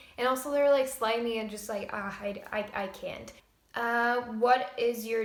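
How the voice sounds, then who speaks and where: With noticeable background noise and audible room echo, a woman speaks at a fairly slow pace. Her pitch is fairly high, her intonation fairly even, and her loudness swings widely. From Estonia. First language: Estonian. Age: 20s. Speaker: vlogger. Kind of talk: casual Q&A vlog.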